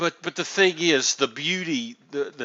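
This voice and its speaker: A man with a Southern US accent at a very slow pace. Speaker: gaming streamer interviewing builders. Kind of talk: casual chat. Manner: halting, many restarts.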